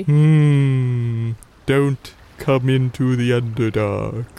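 A man uses a put-on character voice at medium pitch. He speaks at a very slow pace. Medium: actual play. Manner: aloof, superior.

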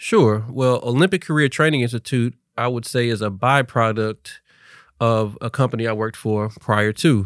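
A man's medium-pitched voice at a moderate pace with ordinary pitch variation, a plain, everyday voice on a very clean recording with a silent background. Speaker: entrepreneur, workforce training founder. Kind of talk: casual interview chat. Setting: studio.

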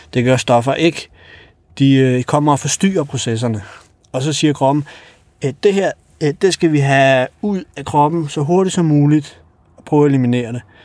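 A man with a fairly high voice speaks at a moderate pace with ordinary pitch variation. His loudness swings widely, and long pauses come often. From Kosovo, grew up in Denmark from early childhood. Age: 30s. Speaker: taxi driver. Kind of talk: casual interview. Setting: in a taxi. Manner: hesitant, many fillers.

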